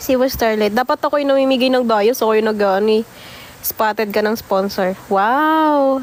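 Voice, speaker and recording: Her tone is animated as the woman talks at a fairly slow pace. Noticeable background noise is present. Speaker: mobile game livestreamer. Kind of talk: live gaming stream chat.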